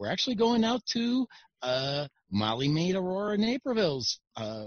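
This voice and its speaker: High male speech with very wide pitch swings. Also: moderate pace. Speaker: show host. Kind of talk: casual chat.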